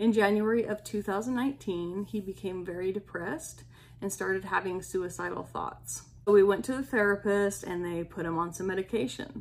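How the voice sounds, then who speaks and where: Speaking at a moderate pace, a woman has a plain, everyday voice at a medium pitch with ordinary pitch variation. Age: 40s. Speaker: podcast host sharing personal weight loss journey. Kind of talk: personal monologue.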